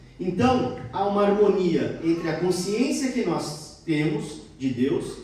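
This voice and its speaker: Over noticeable background noise and audible room echo, a man talks at a very slow pace. His pitch is high. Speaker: lay preacher. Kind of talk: sermon. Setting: church service.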